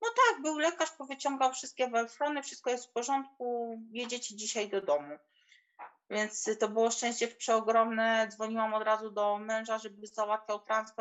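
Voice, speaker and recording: The pace is moderate as a woman talks. Her pitch shifts in an ordinary way. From Poland, small village. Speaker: mother sharing birth story. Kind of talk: testimony.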